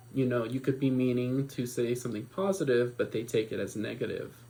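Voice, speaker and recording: With an American accent and fairly even intonation, a man talks in a somewhat breathy voice. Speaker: student presenter. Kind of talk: class presentation.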